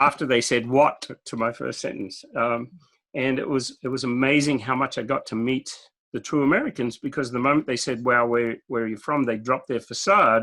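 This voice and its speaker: Here a man talks at a fairly quick pace. His tone is bright and sharp, and his intonation fairly even. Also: medium pitch for a man. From Australia. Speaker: IT consultant and keynote speaker. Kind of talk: podcast interview.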